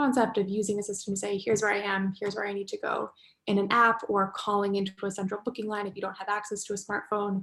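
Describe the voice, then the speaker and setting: Speaking very fast with hardly any pauses, a woman with an American accent talks in a monotone, flat intonation. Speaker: transport technology company representative. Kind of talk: panel discussion contribution.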